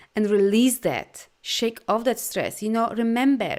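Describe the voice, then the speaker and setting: In a very clean recording with a silent background, a woman with a Polish accent speaks at a fairly slow pace, her fairly high pitch showing ordinary pitch variation. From Poland. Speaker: life coach and energy healer. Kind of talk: live video talk to viewers. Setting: live stream with viewer comments. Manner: animated.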